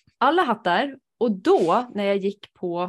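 The pitch swings very widely. The recording is very clean with a silent background. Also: woman. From rural Sweden. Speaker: podcast host, human design reader. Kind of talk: casual chat.

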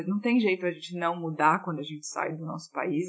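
This woman has a plain, everyday voice with fairly low pitch. Her intonation is fairly even. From Brazil, Fortaleza (Ceará). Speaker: creative director. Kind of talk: recorded voice message answering a question.

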